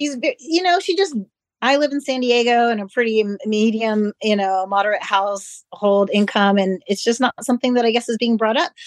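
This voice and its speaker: This woman has a normal speaking voice, fairly high in pitch, with lively intonation. She talks at a moderate pace and keeps her loudness very even. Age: 40s. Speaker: occupational therapy practitioner. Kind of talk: personal testimony in panel discussion.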